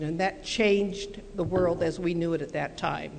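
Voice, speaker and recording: An American accent comes through amid noticeable background noise and audible room echo. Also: woman. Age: 70s. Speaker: career counselor. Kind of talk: motivational talk.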